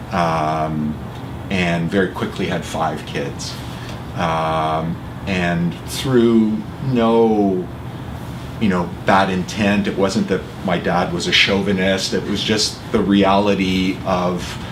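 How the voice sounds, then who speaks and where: With a Canadian accent, a man talks at a very slow pace in a very deep, low voice with fairly even intonation, over noticeable background noise and audible room echo. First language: Italian. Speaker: award winner and charity executive. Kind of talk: interview. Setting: office.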